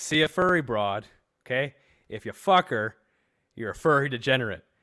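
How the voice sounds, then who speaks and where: A man talks at a moderate pace. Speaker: podcast host. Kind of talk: casual chat. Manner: animated.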